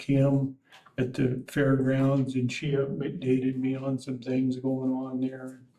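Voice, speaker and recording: Spoken in an American accent at a very slow pace, the voice stays monotone and flat over noticeable background noise. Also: man. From US, north central Montana. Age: 80s+. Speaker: board applicant, retiree. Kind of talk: interview. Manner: halting, many fillers.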